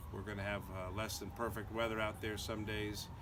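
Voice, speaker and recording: A man with an American accent speaks at a fairly quick pace in a fairly low pitch, his bright, sharp tone carrying audible room echo. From US Northeast (Connecticut). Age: 60s. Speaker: hiker and lawyer vlogger. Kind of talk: casual vlog monologue. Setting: outdoors in backyard. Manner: hesitant, many fillers.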